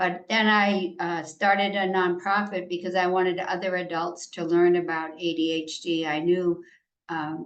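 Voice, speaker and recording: A woman talks at a moderate pace with a fairly low pitch. Her intonation is flat and monotone. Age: 80s+. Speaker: ADHD advocate and nonprofit founder. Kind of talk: presentation.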